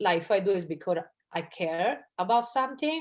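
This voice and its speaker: In an Italian accent, a woman speaks at a medium pitch with lively intonation. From Italy. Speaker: audience member. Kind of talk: Q&A question.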